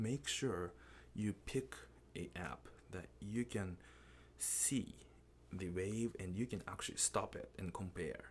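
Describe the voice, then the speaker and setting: In a Japanese accent, a man with a very deep, low pitch and vocal fry speaks very slowly, with very wide pitch swings and long, frequent pauses. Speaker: music teacher. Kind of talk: tutorial.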